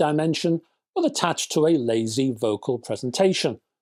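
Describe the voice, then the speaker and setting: The speaker has a northern English accent and a moderate pace. The recording is very clean, with a silent background. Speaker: music reviewer. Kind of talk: casual video review. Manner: animated.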